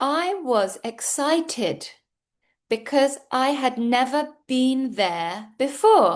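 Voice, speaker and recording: A woman with a British accent talks at a very slow pace and a high pitch, with very wide pitch swings. The background is quiet. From United Kingdom. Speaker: English teacher. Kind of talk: English pronunciation lesson to camera. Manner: clear, slow.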